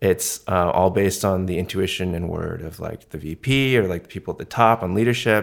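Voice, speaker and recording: On a very clean recording with a silent background, a man speaks at a fairly quick pace. His very deep, low voice runs on with hardly any pauses. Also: ordinary pitch variation. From Canada, Vancouver. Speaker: design lead. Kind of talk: interview conversation. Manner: casual, hesitant with many fillers.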